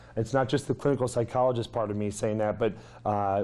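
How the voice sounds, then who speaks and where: A man talks in a dark, mellow tone. The background is quiet. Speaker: clinical health psychologist. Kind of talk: lecture. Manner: fast.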